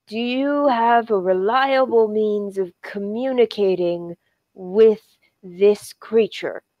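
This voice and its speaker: In a put-on character voice that sounds female, someone speaks very slowly in a strained, fairly high pitch. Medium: actual play. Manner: stiff, formal, slightly hesitant.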